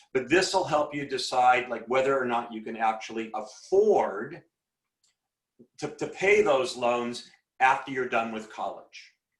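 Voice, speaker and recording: There are long, frequent pauses as a man talks at a fairly slow pace. His medium pitch shows ordinary variation. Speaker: school teacher giving talk to seniors. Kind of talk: presentation to students. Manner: halting, many repetitions.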